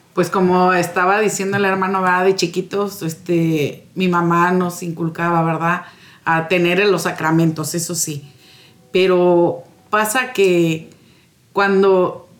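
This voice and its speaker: Speaking very slowly, a woman keeps her intonation monotone and flat. Her pitch is medium. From Morelos, Mexico. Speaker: parish community secretary, guest. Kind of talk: radio interview.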